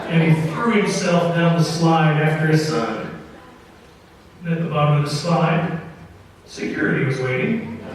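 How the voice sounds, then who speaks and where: Against noticeable background noise, a man speaks at a moderate pace in a fairly high pitch with long, frequent pauses. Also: ordinary pitch variation. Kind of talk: live radio storytelling, tall tale read to an audience. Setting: live performance in front of an audience in an opera house.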